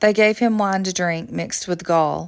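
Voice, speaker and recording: A woman with a Southern US accent talks at a moderate pace with a fairly low pitch. The recording is very clean, with a silent background. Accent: Southern American. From Southern United States. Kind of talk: Bible reading.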